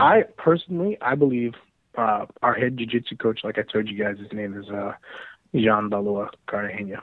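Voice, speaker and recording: A man with a normal speaking voice, ordinary pitch variation and a fairly quick pace. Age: 40s. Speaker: navy officer and jiu-jitsu gi maker. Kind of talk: casual chat.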